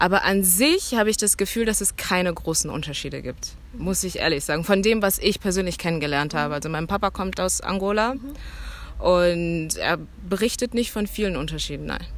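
Speaking at a fairly quick pace, a woman with a medium pitch and vocal fry shows ordinary pitch variation. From Germany, Cologne. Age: 20s. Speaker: student. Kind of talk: interview.

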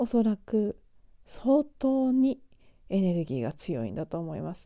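A woman speaks at a fairly slow pace, her pitch swinging very widely. Her tone is dark and mellow, and it sounds tired. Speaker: spiritual podcaster. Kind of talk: solo monologue. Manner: tired, drawn-out.

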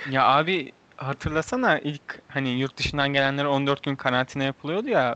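With a bright, sharp tone and a fairly high pitch, a man speaks at a moderate pace in a dry, close sound with no echo. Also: hardly any pauses. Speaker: podcast host. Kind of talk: casual chat. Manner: animated.

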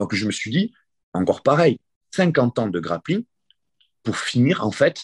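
The sound is dry and close, with no echo, over a quiet background. The voice is somewhat breathy, with very wide pitch swings and a very slow pace. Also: man. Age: 40s. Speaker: grappling coach and competitor. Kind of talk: interview.

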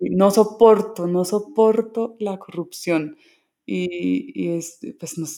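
Speaking at a very slow pace, a woman with a dark, mellow tone uses ordinary pitch variation while her loudness swings widely. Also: medium pitch for a woman. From Colombia, rural (Caquetá, Tolima, Huila). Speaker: singer-songwriter. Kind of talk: interview testimony. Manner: halting, repeated words.

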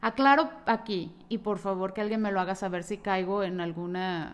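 A woman's medium-pitched voice with a Mexican accent, at a moderate pace, with fairly even intonation. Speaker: podcaster. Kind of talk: personal storytelling monologue.

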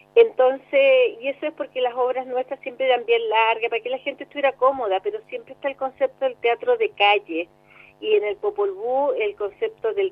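Her voice high, a woman talks at a moderate pace with very wide pitch swings. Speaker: actress. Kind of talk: interview.

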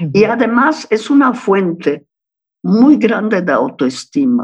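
Speaking at a very slow pace, the woman's voice carries vocal fry. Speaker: psychoanalyst. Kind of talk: interview.

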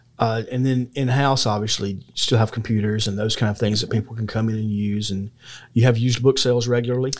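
Very fast speech from a man with a Southern US accent, medium in pitch, in a monotone, flat intonation, on a very clean recording with a silent background. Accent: Southern US (Georgia). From US South, Georgia (McDuffie County). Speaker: podcast host. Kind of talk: interview.

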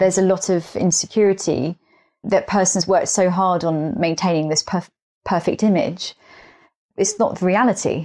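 A woman's dark, mellow voice with an English accent, medium in pitch with ordinary pitch variation and very even loudness, on a very clean recording with a silent background. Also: moderate pace. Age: 30s. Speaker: podcast guest. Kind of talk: casual chat.

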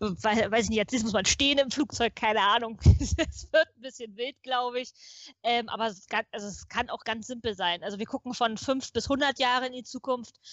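A woman's fairly high, an ordinary speaking voice, with ordinary pitch variation. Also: moderate pace. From Potsdam, eastern Germany. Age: 30s. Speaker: futurist, podcast guest. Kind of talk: casual chat.

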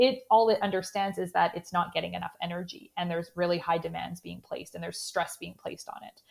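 A woman with a Canadian accent races along at a very fast pace with hardly any pauses and big swings in loudness. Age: 30s. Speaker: sports dietitian. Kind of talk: interview.

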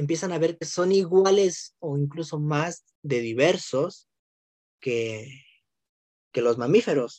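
Lively intonation marks this man's fairly high-pitched voice. He talks at a very slow pace with long, frequent pauses. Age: 20s. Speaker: podcast co-host. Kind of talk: casual science chat.

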